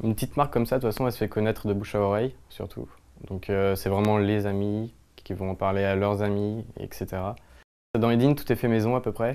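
A man's fairly low, dark, mellow voice at a fairly quick pace, with fairly even intonation. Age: 20s. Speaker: clothing brand founder. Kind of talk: interview talk. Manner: hesitant, many fillers. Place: shop. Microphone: lapel.

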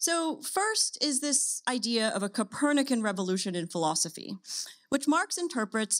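Against a quiet background, a woman speaks in a normal speaking voice, fairly high in pitch, at a moderate pace. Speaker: philosophy professor. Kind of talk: academic lecture. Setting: stage with audience. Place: stage. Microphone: podium.

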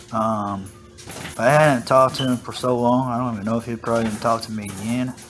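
The speech moves at a very fast pace. Music plays in the background. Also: man. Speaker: martial arts fitness youtuber. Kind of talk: casual monologue video, workout commentary. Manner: casual, rambling, with many filler words. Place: gym. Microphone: camera far.

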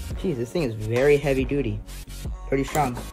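Faint music plays in the background. The speaker keeps a moderate pace. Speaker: unboxing vlogger. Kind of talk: casual unboxing commentary. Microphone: phone near.

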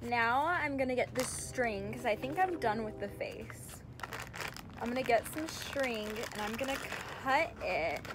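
Over noticeable background noise, a woman talks at a fairly slow pace with long, frequent pauses. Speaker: craft vlogger. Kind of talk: casual vlog chat. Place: garden. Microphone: phone near.

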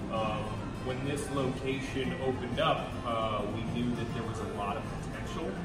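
Loud music plays behind a man speaking, with audible room echo. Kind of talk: interview answer. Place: bar. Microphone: camera far.

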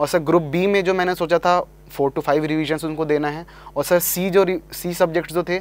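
Here a man speaks at a high pitch and a fairly quick pace. His intonation is monotone and flat, and the sound is dry with no echo. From Delhi, India. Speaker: engineering graduate, exam topper; guest. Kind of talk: interview. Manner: formal. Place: studio. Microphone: lapel.

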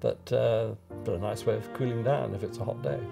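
Clear music plays in the background. A man speaks fairly quickly in a fairly low pitch. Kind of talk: interview answer. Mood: fond, reminiscing. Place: home room.

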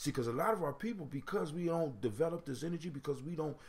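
A man speaks with an animated tone and a fairly high pitch. His voice is somewhat breathy. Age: 40s. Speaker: internet radio host. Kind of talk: casual call-in radio talk with proverb discussion. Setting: home studio with mic.

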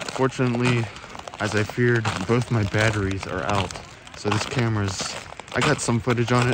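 Despite loud background noise, the man's fairly quick speech sounds dry, with no echo. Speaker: travel vlogger. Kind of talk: casual vlog chat. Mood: excited, awed. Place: open country. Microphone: phone near.

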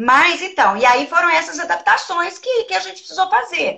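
A woman projects her raised voice with a bright, sharp tone and very wide pitch swings against a quiet background. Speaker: educator and trainer of child protection counselors. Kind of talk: casual live-stream interview. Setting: video call. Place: office. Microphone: video call.

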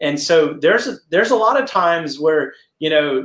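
A man's high-pitched voice with lively intonation at a moderate pace, audible room echo, and a quiet background. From New England. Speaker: pastor and caregiving spouse; pastor. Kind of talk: interview conversation. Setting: video call. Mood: reflective, earnest. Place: home room.

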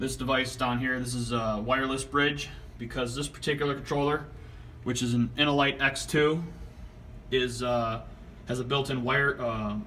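A man's bright, sharp voice comes in a monotone, flat intonation at a fairly slow pace over light background noise. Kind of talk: tutorial. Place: home room. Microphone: phone near.

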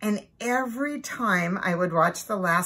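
The speaker does plain reading aloud. Nothing more is added to the delivery.

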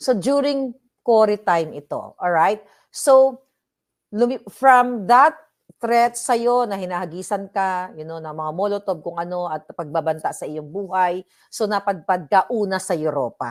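On a very clean recording with a silent background, a woman speaks fairly slowly. Her medium pitch carries lively intonation. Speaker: vlogger. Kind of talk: interview.

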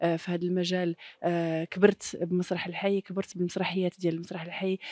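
Against a quiet background, a woman talks fairly quickly in a dark, mellow tone, the sound dry with no echo. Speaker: stage actress. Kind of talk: interview answer. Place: hall. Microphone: handheld.

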